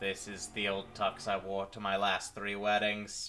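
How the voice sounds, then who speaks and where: A man puts on a character voice with a fairly low pitch. His intonation is monotone and flat, and the pace is moderate. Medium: actual play.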